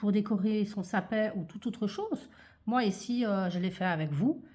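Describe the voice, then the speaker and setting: Somewhat breathy, a woman speaks fairly slowly at a medium pitch with ordinary pitch variation. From Belgium, Liège-Verviers area. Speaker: craft youtuber. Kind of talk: tutorial. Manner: hesitant, many fillers.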